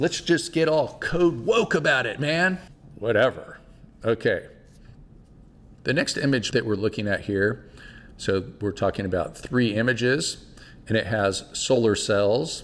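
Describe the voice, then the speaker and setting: A man at a medium pitch with lively intonation, a fairly slow pace, and long, frequent pauses. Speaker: solar energy educator. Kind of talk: educational podcast commentary on electrical code. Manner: casual, playful.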